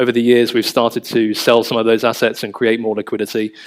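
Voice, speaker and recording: Monotone, flat intonation at a medium pitch from a male speaker. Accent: London. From London, England. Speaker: family office managing director. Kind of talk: panel discussion. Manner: hesitant, many fillers.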